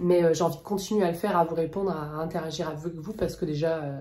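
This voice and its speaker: A woman talks at a fairly quick pace and a fairly low pitch with fairly even intonation. Her tone is dark, mellow and somewhat breathy, with audible room echo. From France. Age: 30s. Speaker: plant YouTuber. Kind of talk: casual vlog talk. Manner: soft-spoken; hesitant, many fillers.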